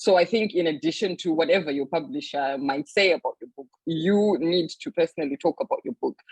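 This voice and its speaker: A woman with a Zimbabwean accent talks at a fairly quick pace with hardly any pauses. Her fairly low voice has lively intonation and big swings in loudness. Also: dry, close sound with no echo. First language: Shona. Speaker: author and publisher. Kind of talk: panel talk.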